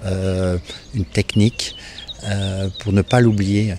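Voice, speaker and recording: Noticeable background noise runs under a man's voice. He speaks very slowly at a fairly low pitch. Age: 60s. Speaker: architect and property owner. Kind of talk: interview. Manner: hesitant, many fillers.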